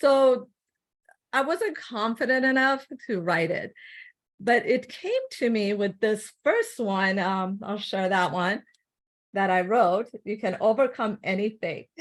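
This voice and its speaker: A woman with a non-native accent and a fairly high pitch, talking at a fairly slow pace with long, frequent pauses and ordinary pitch variation, on a very clean recording with a silent background. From grew up abroad, moved to US as child. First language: not English. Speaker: health coach and author. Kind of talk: interview.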